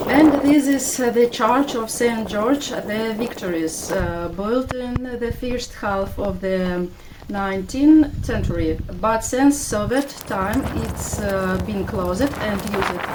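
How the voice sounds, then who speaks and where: Amid noticeable background noise, a woman with a fairly high pitch speaks at a very slow pace with ordinary pitch variation. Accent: Russian. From Russia. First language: Russian. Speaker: vlogger. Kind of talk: walking tour vlog. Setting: outdoors. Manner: halting.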